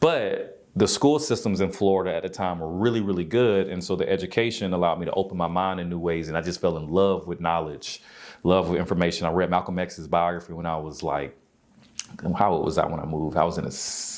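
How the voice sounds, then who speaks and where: Talking at a very fast pace, a man with a very deep, low pitch and a slight Southern US accent uses ordinary pitch variation. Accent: slight Southern country twang. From US South, Albany, Georgia. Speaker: yoga instructor and wellness coach. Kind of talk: interview.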